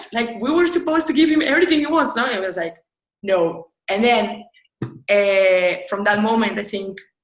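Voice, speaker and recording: A somewhat breathy voice that swings very widely in pitch. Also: woman, fairly high pitch for a woman, moderate pace. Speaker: UX designer. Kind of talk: interview. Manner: animated.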